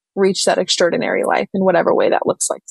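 With a normal speaking voice, a woman talks at a medium pitch and fairly even intonation. The sound is dry and close with no echo. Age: 20s. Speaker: real estate agent and author. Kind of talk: podcast interview.

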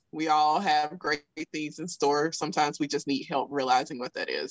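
Over a quiet background, a woman with a strong Southern US accent speaks in a very deep, low voice. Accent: thick Southern US. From South Alabama. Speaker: podcast host. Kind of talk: casual interview chat.

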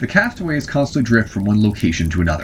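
A man talks at a fairly quick pace with very wide pitch swings, over noticeable background noise. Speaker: podcast host and writer. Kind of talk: scripted show intro and outro.

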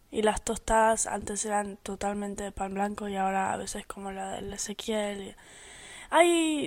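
A woman speaks fairly slowly, her pitch varying in an ordinary way, in a very clean recording with a silent background. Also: medium pitch for a woman, big swings in loudness. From United States (born in Argentina). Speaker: podcast co-host. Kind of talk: casual chat.

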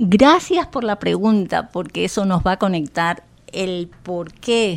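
At a very slow pace, a woman talks with a fairly low pitch. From Colombia, Bogotá. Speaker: Spanish teacher. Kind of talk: interview. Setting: radio studio.

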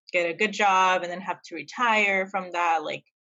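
A woman with an American accent has a normal speaking voice and a fairly low pitch. She talks at a moderate pace with fairly even intonation. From El Paso, Texas. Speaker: podcast co-host. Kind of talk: casual chat.

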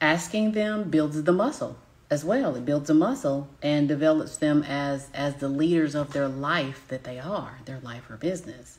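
With a Southern US accent, a woman speaks in a very deep, low pitch with lively intonation. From US South. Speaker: business coach. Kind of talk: live-stream teaching. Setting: live broadcast from home.

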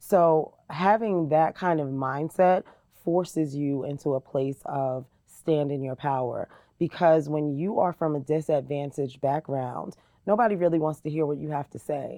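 The voice has a dark, mellow tone with ordinary pitch variation at a moderate pace. The background is quiet. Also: woman, very deep, low pitch for a woman. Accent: American. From New Jersey, Jersey City. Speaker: diversity and community engagement director. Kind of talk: interview. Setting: podcast.

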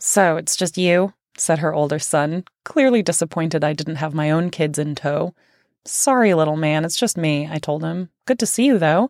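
A woman with a very deep, low pitch and ordinary pitch variation is heard in a very clean, dry, close recording with no echo and a silent background. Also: moderate pace. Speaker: author narrating own book. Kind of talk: reading aloud.

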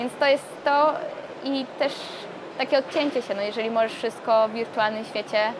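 Over noticeable background noise, a woman talks at a fairly quick pace in a fairly high pitch with fairly even intonation. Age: 20s. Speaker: startup co-founder. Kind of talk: interview.

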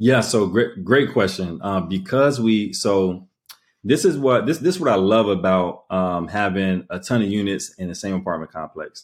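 In a very clean recording with a silent background, a normal speaking voice shows ordinary pitch variation. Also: man, fairly low pitch for a man, moderate pace. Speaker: business owner and arbitrage operator. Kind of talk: casual interview.

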